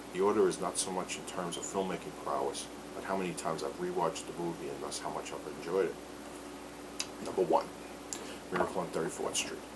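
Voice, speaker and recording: A man with a very deep, low voice talks at a very fast pace with long, frequent pauses and fairly even intonation, with audible room echo and noticeable background noise. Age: 40s. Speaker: film reviewer. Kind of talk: casual movie review monologue. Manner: slurred.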